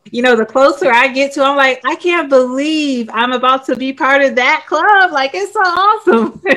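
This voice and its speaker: Against noticeable background noise, a woman speaks in a raised, projected voice at a high pitch with lively intonation. Her pace is moderate, with hardly any pauses. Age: 30s. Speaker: book club host. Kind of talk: author interview.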